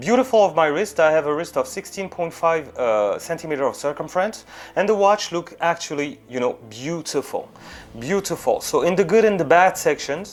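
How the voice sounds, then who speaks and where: A man with a French accent speaks in a high pitch with lively intonation. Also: moderate pace. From France. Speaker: watch reviewer, YouTuber. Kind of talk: product review. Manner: casual, filler-heavy with frequent hesitations.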